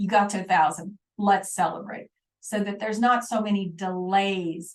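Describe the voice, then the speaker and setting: Speaking at a moderate pace, a woman sounds somewhat breathy. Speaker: online course instructor. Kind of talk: live webinar teaching.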